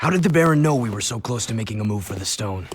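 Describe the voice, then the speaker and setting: Using a put-on character voice, a man rattles along at a very fast pace with lively intonation and a medium pitch. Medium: video game. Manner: terse, hard.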